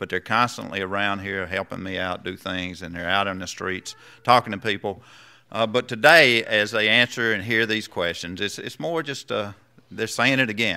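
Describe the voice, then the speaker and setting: The tone is bright and sharp, with ordinary pitch variation at a moderate pace. The background stays quiet. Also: man, fairly low pitch for a man. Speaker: pastor leading a membership rite. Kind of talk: sermon. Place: church. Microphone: podium.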